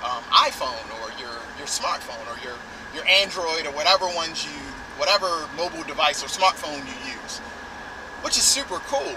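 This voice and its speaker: Noticeable background noise runs under a man talking at a moderate speed. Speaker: tech vlogger. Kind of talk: casual vlog chat. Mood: enthusiastic. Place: car. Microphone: phone near.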